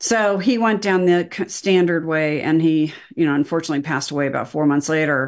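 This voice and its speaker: A woman with an unremarkable speaking voice talks at a fairly quick pace with hardly any pauses, her pitch fairly low and its variation ordinary, against a quiet background. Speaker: documentary filmmaker. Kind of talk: casual chat.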